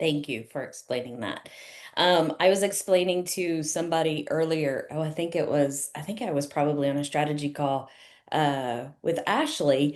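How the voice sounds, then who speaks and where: A woman with a Southern US accent speaks in a very deep, low voice with ordinary pitch variation. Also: moderate pace. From US South. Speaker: chef and business coach. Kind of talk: webinar hosting.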